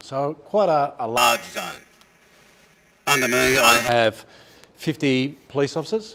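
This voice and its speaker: Here is a man with an Australian accent. He speaks at a fairly slow pace. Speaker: police inspector. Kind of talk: public meeting briefing. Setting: public meeting hall with audience. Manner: loud.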